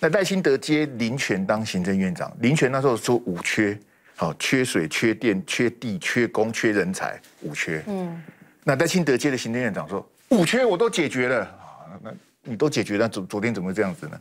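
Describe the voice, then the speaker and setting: Speaking at a moderate pace, the man swings his pitch very widely. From Taiwan. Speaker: political commentator. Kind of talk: TV panel debate. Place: studio. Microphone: lapel.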